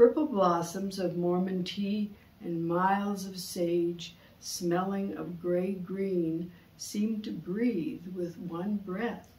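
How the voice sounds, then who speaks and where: The speech comes at a very slow pace with fairly even intonation. Loudness swings a lot, and room echo is audible. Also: woman, medium pitch for a woman. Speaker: poet. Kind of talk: poetry reading, performed aloud from a written poem. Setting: studio. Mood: calm, contemplative. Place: studio.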